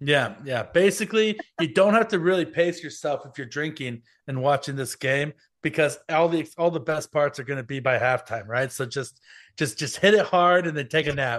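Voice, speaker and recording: Talking at a moderate pace against a quiet background, a man has an unremarkable speaking voice, fairly high in pitch with ordinary variation. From US, Mexican-American family. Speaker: football writer. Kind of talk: casual chat.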